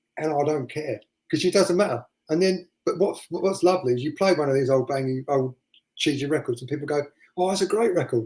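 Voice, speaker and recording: Somewhat breathy speech at a fairly quick pace, with ordinary pitch variation. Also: man, fairly high pitch for a man. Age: 50s. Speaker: DJ and record collector. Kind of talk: casual chat.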